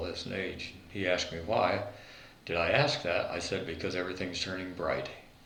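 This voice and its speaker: Moderate pace and fairly even intonation in an American accent, with audible room echo and noticeable background noise. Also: man. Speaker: war veteran. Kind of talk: interview.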